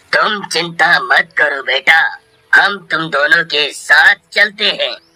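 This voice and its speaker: A man's cartoonish character voice, very slow, with a dry, close sound and no echo. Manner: solemn, authoritative.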